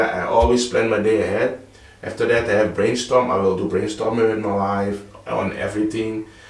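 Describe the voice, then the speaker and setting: In a Dutch accent, a man speaks at a medium pitch and moderate pace with monotone, flat intonation, amid audible room echo and noticeable background noise. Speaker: vlogger. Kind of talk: casual vlog talk. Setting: home office, early morning. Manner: halting, with repetitions.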